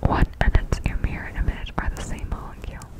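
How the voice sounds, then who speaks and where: A woman is whispering at a moderate pace. There is noticeable background noise. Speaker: ASMR creator. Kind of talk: ASMR sleep-aid lecture. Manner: whispered, close-up, soft.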